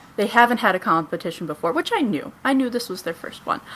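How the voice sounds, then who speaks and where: A woman's fairly high voice carries lively intonation amid noticeable background noise. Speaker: cosplayer and podcast co-host. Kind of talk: casual interview chat. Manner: fast when talking about cosplay.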